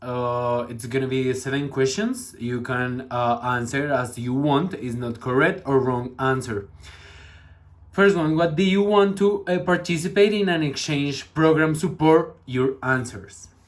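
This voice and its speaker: Pitched in the middle of his range, a man talks fairly slowly with ordinary pitch variation. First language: Spanish. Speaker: interviewer. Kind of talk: interview.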